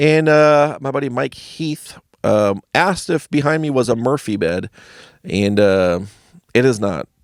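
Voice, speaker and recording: Mumbling with lively intonation, a man with an American accent speaks at a medium pitch, recorded dry and close with no echo in a very clean, silent setting. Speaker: stand-up comedian. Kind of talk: casual video blog monologue. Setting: home basement studio.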